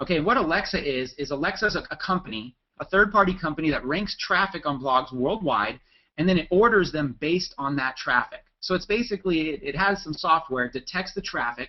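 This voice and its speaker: A man with a high pitch talks at a fairly quick pace, his tone enthusiastic and his intonation lively. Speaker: webinar presenter, blogging marketer. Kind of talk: webinar presentation. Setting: webinar. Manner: fast.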